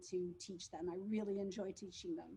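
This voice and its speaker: A somewhat breathy woman with a French accent. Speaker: school teacher. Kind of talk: school presentation. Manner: halting.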